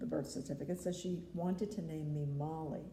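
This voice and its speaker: A woman with an American accent, a dark, mellow tone, vocal fry and ordinary pitch variation, at a fairly slow pace amid audible room echo. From New York City, the Bronx. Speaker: grandmother interviewed about family history. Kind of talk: family interview.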